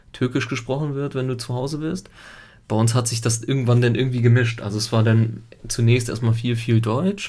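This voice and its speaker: A man talks at a moderate pace in a somewhat breathy voice. His intonation is monotone and flat. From Italy until age 7, then Germany. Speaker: podcast co-host, father. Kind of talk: casual chat.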